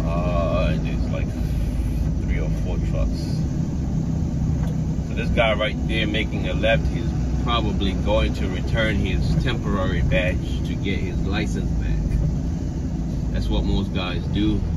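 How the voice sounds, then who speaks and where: Speech comes at a very slow pace, broken by long, frequent pauses, over loud background noise. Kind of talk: casual vlog chat. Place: car. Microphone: phone near.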